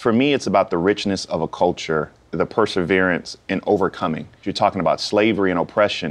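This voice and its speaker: A man with an American accent, a normal speaking voice, fairly low pitch, ordinary pitch variation, a fairly quick pace and hardly any pauses. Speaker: author and former politician. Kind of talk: interview. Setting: TV studio.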